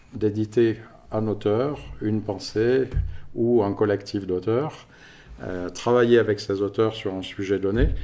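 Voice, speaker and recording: Pitched fairly low, a man speaks at a fairly slow pace with a dark, mellow tone. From France (Paris region). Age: 50s. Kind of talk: podcast interview.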